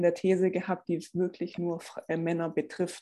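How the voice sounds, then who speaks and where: Recorded very cleanly against a silent background, a woman speaks at a moderate pace in a fairly low pitch. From Swabia, Stuttgart area. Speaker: personal trainer and former track athlete. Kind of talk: podcast interview.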